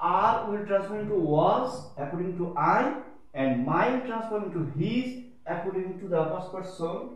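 Strong room echo surrounds a high-pitched man who speaks at a moderate pace with lively intonation. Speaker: school teacher. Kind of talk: lecture. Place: classroom. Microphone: camera far.

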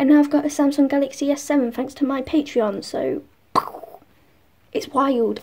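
Pitch moves in an ordinary way. The speed is moderate. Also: woman. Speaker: vlogger. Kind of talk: casual vlog chat. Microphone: phone near.

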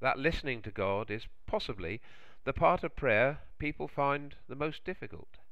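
Speaking at a moderate pace, a man uses a medium pitch and lively intonation.

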